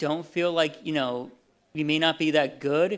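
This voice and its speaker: An American accent marks this man's speech. The recording is very clean, with a silent background. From Texas. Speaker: convention panelist, voice actor for a fan animation. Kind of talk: convention panel talk. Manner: casual, halting with fillers.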